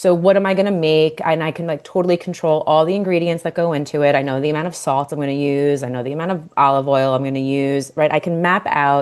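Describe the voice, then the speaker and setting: A woman with a Long Island accent, very deep and low in pitch, very fast with hardly any pauses and fairly even intonation. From Long Island, New York. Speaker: dietitian and nutrition coach. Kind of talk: podcast interview. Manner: casual, filler-heavy.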